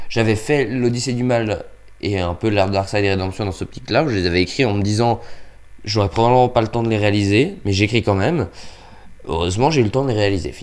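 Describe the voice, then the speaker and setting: Fairly low in pitch, a man's voice moves at a fairly quick pace with ordinary pitch variation. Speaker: YouTuber, amateur filmmaker. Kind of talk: casual vlog update. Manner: low energy; hesitant, many fillers.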